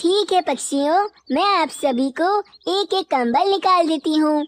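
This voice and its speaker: A woman's cartoonish character voice, extremely high in pitch, at a moderate pace with ordinary pitch variation and a dry, close sound with no echo. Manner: polite, warm.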